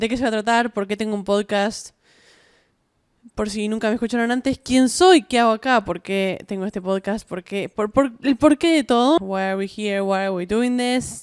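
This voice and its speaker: Here is a woman with a Rioplatense accent. Her pitch sits fairly high. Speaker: podcast host. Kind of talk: casual solo podcast monologue. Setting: at home, self-recorded. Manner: chatty, many fillers and restarts.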